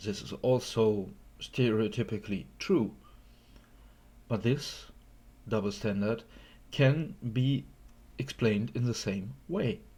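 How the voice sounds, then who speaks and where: A man speaks at a very slow pace with long, frequent pauses, a medium pitch and lively intonation. His dark, mellow tone carries vocal fry, in a very clean recording with a silent background. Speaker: YouTube commentator. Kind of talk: response video commentary. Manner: halting, many fillers.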